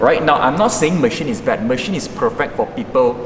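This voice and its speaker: A man with a Malaysian accent and ordinary pitch variation, over noticeable background noise. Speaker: fitness coach; fitness creator. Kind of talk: gym tutorial talk to camera; tutorial. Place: gym.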